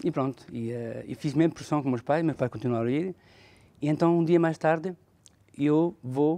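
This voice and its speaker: A man speaks at a moderate pace in a fairly high pitch, with a dark, mellow tone, ordinary pitch variation, and long, frequent pauses. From northern Portugal (Felgueiras), raised partly in France. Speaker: bishop. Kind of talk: testimony.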